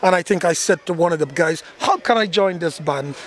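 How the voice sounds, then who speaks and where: Noticeable background noise sits behind a man speaking in a high pitch with ordinary pitch variation. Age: 60s. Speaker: steel band leader. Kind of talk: interview. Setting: live carnival event venue. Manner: halting, many repetitions.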